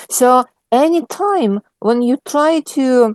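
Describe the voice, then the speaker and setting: Lively intonation marks the speech of a woman with a non-native accent. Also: dry, close sound with no echo. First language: not English. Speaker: Bible study leader. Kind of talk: Bible study discussion. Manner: halting.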